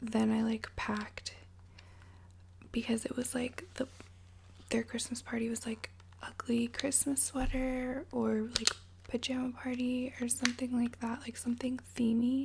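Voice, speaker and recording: Soft-spoken and fairly slow, a woman leaves long, frequent pauses amid noticeable background noise. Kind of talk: ASMR story time. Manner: casual, chatty.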